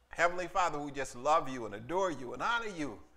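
Lively intonation marks this man's speech. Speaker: pastor leading a service. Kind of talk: sermon welcome and prayer. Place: church.

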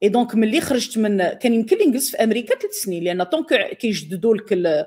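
Moderate pace over a quiet background. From Morocco. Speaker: scientist and storyteller; storyteller. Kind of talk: storytelling. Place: home room.

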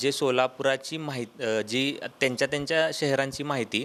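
A man talks in a monotone at medium pitch, his intonation flat. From Solapur, Maharashtra, India. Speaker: digital marketing entrepreneur. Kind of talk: interview statement. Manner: halting.

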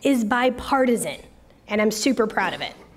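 A woman with a high pitch speaks at a fairly quick pace. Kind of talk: public speech. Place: hall. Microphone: podium.

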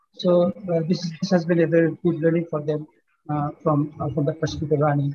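A man talks at a fairly quick pace in a fairly high voice. His tone is dark and mellow, his intonation monotone and flat. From Bangladesh. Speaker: finance professor. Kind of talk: closing speech. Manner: halting. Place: office. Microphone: video call.

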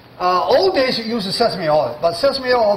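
Speech comes at a moderate pace with audible room echo. Light background noise sits underneath. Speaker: chef instructor. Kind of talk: cooking demonstration tutorial. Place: kitchen.

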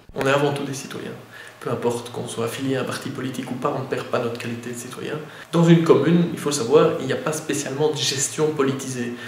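A man talks very fast at a fairly high pitch with fairly even intonation. His loudness swings widely, and the recording carries audible room echo and noticeable background noise. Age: 30s. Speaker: mayor. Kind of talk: interview. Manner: halting, many fillers and repetitions.

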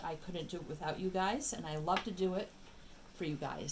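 A woman speaks at a moderate pace with a fairly low pitch. Light background noise is audible. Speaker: tarot reader. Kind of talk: casual reading chat. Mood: warm, grateful. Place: home room.

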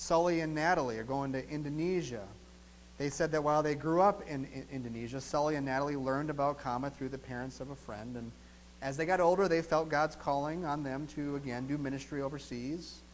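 There is light background noise as a man speaks with an Upper Midwest accent. His pitch is fairly high, his intonation fairly even and his pace fairly quick. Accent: Upper Midwest American. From US Midwest, southeastern Wisconsin. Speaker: pastor. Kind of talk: sermon. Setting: church. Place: church.

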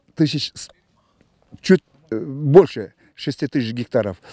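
Against a quiet background, the voice has a dark, mellow tone and a dry sound with no echo. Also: man. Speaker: seed company representative. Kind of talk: interview. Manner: halting. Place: open country. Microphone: handheld.

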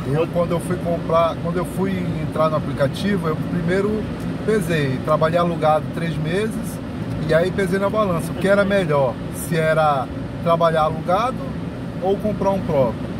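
Over loud background noise, a man speaks at a moderate pace with ordinary pitch variation and long, frequent pauses, the sound dry with no echo. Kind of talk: interview answer. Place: car. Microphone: phone near.

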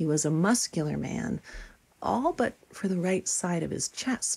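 A woman with a normal speaking voice talks at a fairly slow pace, using lively intonation at a medium pitch. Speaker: filmmaker and fiction writer. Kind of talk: documentary narration.

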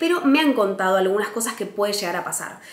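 Woman with a Rioplatense accent and lively intonation, in audible room echo. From Argentina, Buenos Aires. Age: 20s. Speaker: travel vlogger. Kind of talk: casual vlog monologue.

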